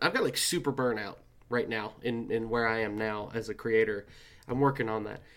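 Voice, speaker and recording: A man's unremarkable speaking voice at a moderate pace with fairly even intonation, on a very clean recording with a silent background. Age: 20s. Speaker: artist. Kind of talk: casual chat.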